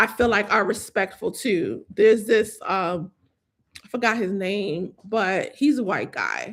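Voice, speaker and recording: Speaking at a fairly slow pace, a woman sounds animated at a medium pitch, on a very clean recording with a silent background. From New York. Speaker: fashion content creator. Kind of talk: casual livestream chat. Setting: livestream from computer. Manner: animated, conversational.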